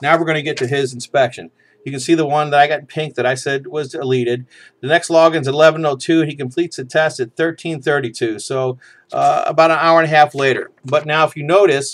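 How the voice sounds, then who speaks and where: On a very clean recording with a silent background, a man speaks at a very fast pace. His pitch is fairly high and his intonation fairly even. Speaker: DUI defense consultant. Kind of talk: tutorial.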